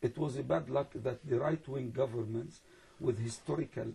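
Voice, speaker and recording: A man at medium pitch with a dark, mellow tone and vocal fry, ordinary pitch variation, a moderate pace, and long, frequent pauses. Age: 60s. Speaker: imam. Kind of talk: interview. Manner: halting.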